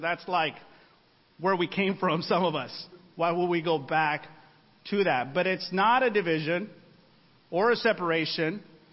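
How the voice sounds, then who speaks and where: A man speaks with a slight Spanish accent. His pitch is high. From Mexican-American, US. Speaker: preacher. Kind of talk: sermon. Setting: church singles ministry gathering with audience.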